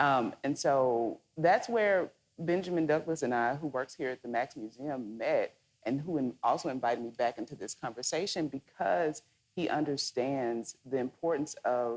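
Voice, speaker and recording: In a Southern US accent, someone talks at a moderate speed. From Mississippi. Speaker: moderator. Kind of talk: onstage interview. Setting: stage with audience.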